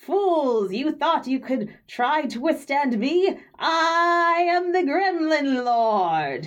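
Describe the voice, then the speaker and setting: A high-pitched, put-on character voice cackles. It moves at a very slow pace. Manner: cackling, menacing, boastful.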